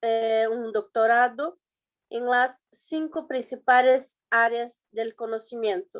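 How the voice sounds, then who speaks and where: Over a quiet background, a woman with a Brazilian accent talks in a high pitch. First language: Portuguese (speaking Spanish). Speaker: student presenter. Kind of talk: conference presentation. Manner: halting, many fillers and restarts.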